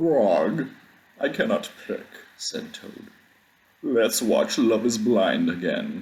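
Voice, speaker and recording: A put-on character voice at a middle pitch moves at a very slow pace, broken by long, frequent pauses. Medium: read story. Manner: stiff, exasperated.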